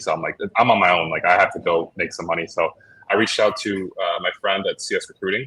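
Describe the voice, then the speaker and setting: A man with a Chicago accent. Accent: Chicago American English. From Chicago, US Midwest. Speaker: logistics entrepreneur. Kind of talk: interview. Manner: casual, filler-heavy.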